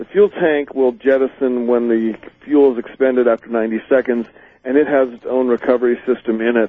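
A man's unremarkable speaking voice at a fairly quick pace, medium in pitch with fairly even intonation. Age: 40s. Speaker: amateur rocket builder and inventor. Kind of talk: interview. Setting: phone call.

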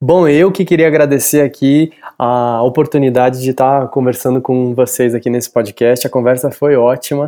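With a dark, mellow tone, a man at medium pitch keeps fairly even intonation and a moderate pace. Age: 40s. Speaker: actor and art teacher. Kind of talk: interview. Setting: remote call from home. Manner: halting, many fillers.

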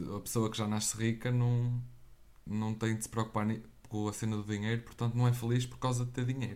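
A man at a medium pitch speaks in a flat monotone. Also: fairly quick pace. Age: 20s. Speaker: podcast co-host. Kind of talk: casual chat.

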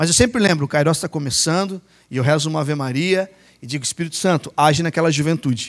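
Very fast and animated, this voice moves with ordinary pitch variation in a very clean recording with a silent background. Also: man, fairly high pitch for a man. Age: 40s. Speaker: lay preacher. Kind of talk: sermon.

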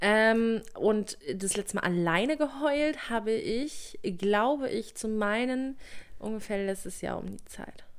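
Very slow and fairly high-pitched, a woman's voice shows ordinary pitch variation and big swings in loudness. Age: 20s. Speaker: podcast co-host. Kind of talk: casual chat.

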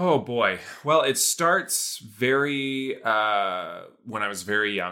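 A man speaks at a fairly slow pace with an American accent and lively intonation. He has an ordinary speaking voice, and the recording is very clean with a silent background. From Iowa, small town. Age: 30s. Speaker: music composer. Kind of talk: casual chat.

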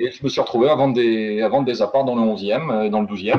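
The man speaks at a fairly quick pace in a normal speaking voice. His pitch is medium, with ordinary pitch variation. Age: 20s. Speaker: real estate negotiator and life annuity expert. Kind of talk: interview. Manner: casual.

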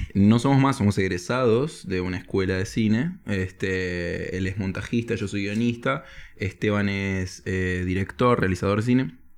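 With an ordinary speaking voice, a man talks fairly slowly and with hardly any pauses, his fairly low pitch varying in an ordinary way. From Spain. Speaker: comedy screenwriter. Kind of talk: casual chat.

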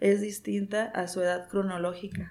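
In a flat monotone, a woman talks at a mid-range pitch. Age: 30s. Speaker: physician, gerontologist. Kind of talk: interview.

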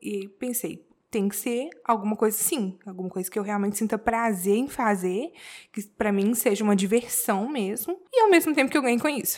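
An ordinary speaking voice at a moderate pace. The pitch varies in an ordinary way. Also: woman, fairly high pitch for a woman. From Brazil, Belo Horizonte, Minas Gerais. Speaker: tattoo artist. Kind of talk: casual interview.

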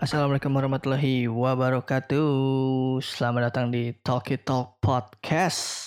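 At a fairly slow pace with hardly any pauses, a man holds a medium pitch, monotone, flat intonation and very even loudness. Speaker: podcast host. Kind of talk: casual chat.

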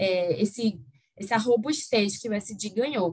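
Somewhat breathy and at medium pitch, a woman with a Recife accent speaks at a fairly slow pace with lively intonation. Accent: Recife accent, kept. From Recife, northeast Brazil. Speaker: energy-sector lawyer. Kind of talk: interview.

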